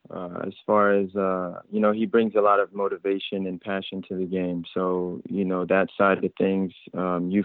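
A fairly low-pitched man with an American accent, at a moderate pace. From France (Paris) then United States. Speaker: professional soccer player. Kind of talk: interview. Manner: halting with many fillers.

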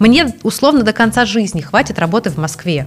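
A woman's voice moves through very wide pitch swings while music plays in the background. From Russia. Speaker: NGO director, legal scholar. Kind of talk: casual interview. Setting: studio with film crew.

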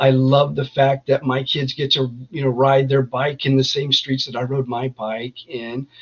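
A man's somewhat breathy, medium-pitched voice at a moderate pace, monotone and flat, with hardly any pauses. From Northern California, East Contra Costa County. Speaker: army veteran, veterans group founder. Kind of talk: interview.

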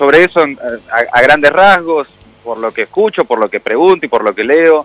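A man with a fairly high pitch speaks at a moderate pace, leaving long, frequent pauses. The sound is dry and close, with no echo. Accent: Rioplatense. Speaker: radio host. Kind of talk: casual interview chat.

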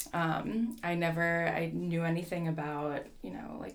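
A woman speaks at a fairly low pitch with fairly even intonation, and audible room echo surrounds her voice. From New Jersey. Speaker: orchestral flutist. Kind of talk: casual interview.

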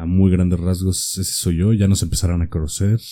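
Dark, mellow tone from a man with a very deep, low pitch. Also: very clean recording, silent background. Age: 20s. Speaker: podcast co-host. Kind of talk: casual chat.

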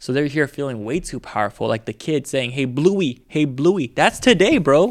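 An American accent from a man, with ordinary pitch variation. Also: very clean recording, silent background. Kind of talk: casual chat.

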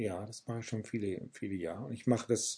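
Somewhat breathy, a man speaks at a fairly low pitch with a dark, mellow tone and ordinary pitch variation. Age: 60s. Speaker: pastor and author. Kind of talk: interview. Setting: office.

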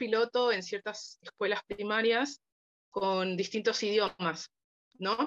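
Recorded with a dry, close sound and no echo, the speaker has a Rioplatense accent. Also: woman. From Argentina, Buenos Aires. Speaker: biochemistry student and language assistant. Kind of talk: casual interview chat.

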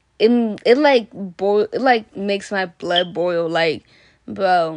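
With an American accent, a woman speaks at a medium pitch. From Washington State, US (Kenyan-born). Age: 20s. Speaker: podcast host, college student. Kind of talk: casual monologue. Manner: hesitant, many fillers and laughs.

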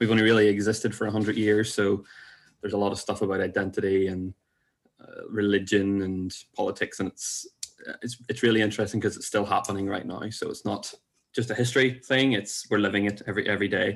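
Speaking at a very fast pace, a man with a Northern Irish accent keeps a fairly even intonation in a fairly low voice. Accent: Northern Irish (Belfast). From Northern Ireland. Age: 20s. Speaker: podcast guest. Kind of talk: casual chat.

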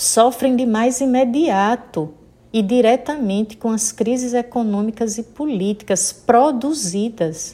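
Speaking very slowly with ordinary pitch variation, this voice has a northeastern Brazilian accent. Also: woman, fairly high pitch for a woman. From Sergipe, Brazil. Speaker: Baptist pastor. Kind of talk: sermon.

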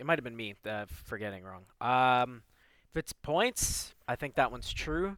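A man at medium pitch talks at a fairly slow pace with lively intonation and big swings in loudness, in a very clean, dry, close recording with a silent background and no echo. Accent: Ontario. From Toronto, Canada (Rexdale). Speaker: hockey podcast co-host. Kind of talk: casual chat.

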